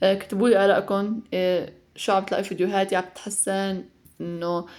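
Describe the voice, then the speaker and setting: This woman speaks at a medium pitch with a monotone, flat intonation. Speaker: mother and home cooking vlogger. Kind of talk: casual vlog voiceover; heartfelt message to mothers. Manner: fast; chatty with fillers.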